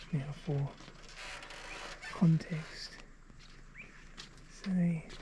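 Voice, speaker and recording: The speaker has an Australian accent. Noticeable background noise runs underneath. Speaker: travel vlogger. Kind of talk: casual vlog narration outdoors. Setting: outdoors. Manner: casual, conversational.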